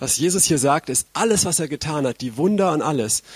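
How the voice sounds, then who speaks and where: A man's plain, everyday voice at a moderate pace, with ordinary pitch variation and a dry, close sound free of echo. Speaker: preacher. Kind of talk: sermon. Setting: stage with audience.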